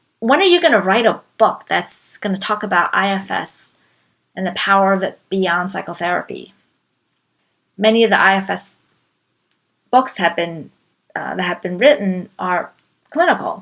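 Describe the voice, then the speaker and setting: Speaking with a non-native accent, a woman at a medium pitch talks at a moderate pace with ordinary pitch variation and long, frequent pauses. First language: not English. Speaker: life coach. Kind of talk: talk / webinar presentation.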